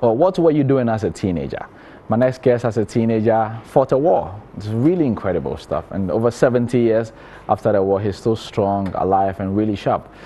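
A man speaks with lively intonation. His pace is fairly quick. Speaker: TV anchor, interviewer. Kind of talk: TV show introduction. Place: studio. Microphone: lapel.

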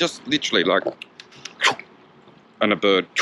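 A man's voice over music in the background, dry with no echo. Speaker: cycling vlogger. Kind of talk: casual vlog chat. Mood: relaxed, humorous. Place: bicycle. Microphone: phone near.

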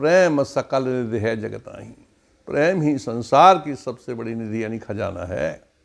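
A man speaks at a very slow pace with lively intonation. The background is quiet. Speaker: religious storyteller. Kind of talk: religious discourse. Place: home room. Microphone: lapel.

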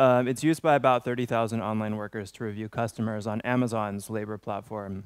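With an American accent, a man talks at a fairly quick pace in a fairly low pitch, using fairly even intonation and an unremarkable speaking voice. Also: quiet background, dry sound with no echo. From US West Coast. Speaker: trade union researcher; conference speaker. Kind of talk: conference talk. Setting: stage with audience. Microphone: headset.

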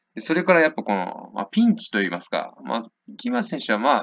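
This man talks at a fairly quick pace. His delivery moves along briskly. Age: 20s. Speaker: boxing YouTuber. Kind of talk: fight prediction commentary. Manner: casual, filler-heavy.

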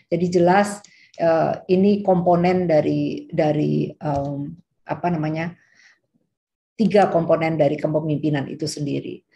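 A dark, mellow, somewhat breathy voice at a fairly slow pace with fairly even intonation. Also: woman, very deep, low pitch for a woman. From Indonesia. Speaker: medical school dean, professor; guest lecturer. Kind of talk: lecture. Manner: hesitant with fillers. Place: home room. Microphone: video call.

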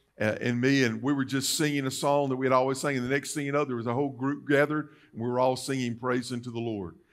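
A man at a medium pitch and a fairly quick pace, with fairly even intonation.

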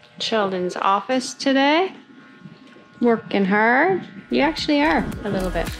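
A woman speaks at a fairly slow pace with a fairly high pitch and lively intonation. Faint music plays behind her.

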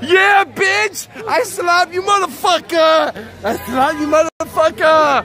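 The speech comes at a very slow pace in a dry sound with no echo. Crowd noise fills the background. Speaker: IRL streamer. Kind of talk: casual vlog chat. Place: street. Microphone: phone near.

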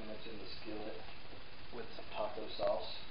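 A man talks at a moderate speed, his voice carrying audible room echo with noticeable background noise underneath. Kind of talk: tutorial. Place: kitchen. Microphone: camera far.

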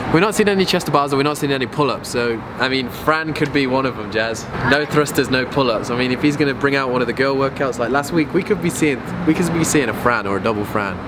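The speech comes at a very fast pace over noticeable background noise. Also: man. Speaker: fitness vlogger. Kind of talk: casual vlog chat. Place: street. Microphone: phone near.

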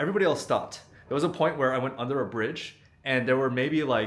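A man speaks at a fairly quick pace. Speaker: travel vlogger. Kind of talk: casual vlog chat. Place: home room. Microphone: phone near.

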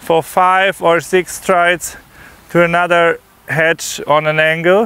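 Speaking with a German accent, a man uses a high pitch and a very slow pace in a flat monotone, the sound dry with no echo. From Germany. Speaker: eventing rider. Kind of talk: course walk explanation. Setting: outdoors. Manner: halting. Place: open country. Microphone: lapel.

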